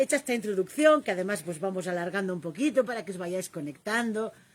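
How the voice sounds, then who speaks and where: This woman has a Catalan accent and a medium pitch that moves in very wide swings. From Catalonia. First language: Catalan (speaking Spanish). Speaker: live stream host. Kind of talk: casual conversation on a live stream.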